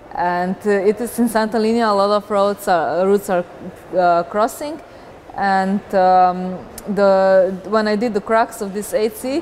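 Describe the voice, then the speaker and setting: Amid noticeable background noise, a woman with a Slovenian accent speaks at a fairly slow pace, her medium-pitched voice showing ordinary pitch variation. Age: 20s. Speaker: professional rock climber. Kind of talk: interview. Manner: halting.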